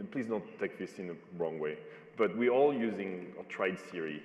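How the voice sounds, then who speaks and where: Over noticeable background noise, a man with a non-native accent talks at a moderate pace in a fairly low pitch. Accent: foreign accent, noticeable. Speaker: panel moderator. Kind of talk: panel discussion.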